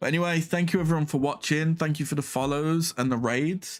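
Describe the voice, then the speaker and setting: With music in the background, a man with a British accent speaks at a moderate pace. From Britain. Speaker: livestreamer, vtuber. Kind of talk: casual stream chat. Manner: casual, filler-heavy.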